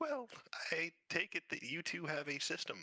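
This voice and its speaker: High-pitched put-on character voice from a man at a moderate pace. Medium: actual play. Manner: dry, sardonic.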